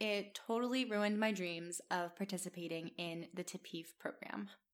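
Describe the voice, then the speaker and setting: Speaking at a moderate pace with ordinary pitch variation, a woman has an ordinary speaking voice on a very clean recording with a silent background. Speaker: podcast host. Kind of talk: scripted-style solo narration.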